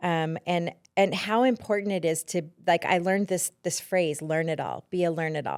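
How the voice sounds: A woman's low voice with an American accent, a clear, smooth and slightly mellow tone, ordinary pitch variation and a fairly slow pace, in a very clean recording with a silent background.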